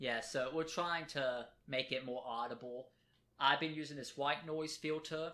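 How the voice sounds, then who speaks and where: Loud and bright with a sharp tone, this man's voice sits at a fairly high pitch. He moves at a moderate pace with fairly even intonation. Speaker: podcast co-host. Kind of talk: casual chat. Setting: home recording at kitchen table. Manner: trying to talk louder.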